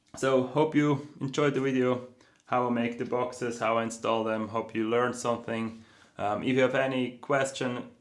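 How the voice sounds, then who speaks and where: A man speaks at a medium pitch and moderate pace. His intonation is monotone and flat, with audible room echo. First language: not English. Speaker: board builder and YouTuber. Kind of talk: tutorial. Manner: hesitant, many fillers.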